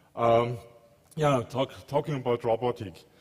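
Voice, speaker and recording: Speaking with a German accent, a man keeps a moderate pace and a medium pitch, with ordinary pitch variation. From Germany, Munich. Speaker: telecom research engineer. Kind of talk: conference talk. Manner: halting, many fillers.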